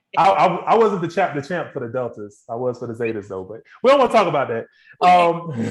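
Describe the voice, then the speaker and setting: A man talks at a fairly quick pace with vocal fry. His pitch swings very widely and his loudness swings a lot. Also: fairly high pitch for a man. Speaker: podcast host. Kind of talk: casual chat.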